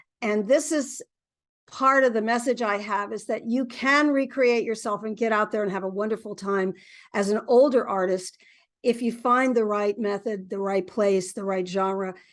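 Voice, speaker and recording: Here is a woman with an ordinary speaking voice and an American accent. Her pitch is fairly high, her pace moderate, and the background quiet. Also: ordinary pitch variation. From US South. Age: 60s. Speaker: singer-songwriter. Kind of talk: interview.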